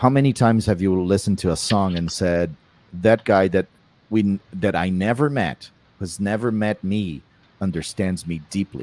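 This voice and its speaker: Speaking at a moderate pace with a non-native accent, a man uses a fairly low pitch and ordinary pitch variation. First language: not English. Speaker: artist. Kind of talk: interview. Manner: halting.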